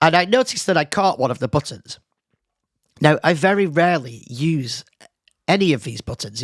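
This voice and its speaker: A man with a British accent, fairly high pitch, vocal fry, lively intonation and long, frequent pauses. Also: dry, close sound with no echo. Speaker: podcast host. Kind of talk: casual solo podcast monologue. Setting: home studio, live stream. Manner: casual, hesitant with fillers.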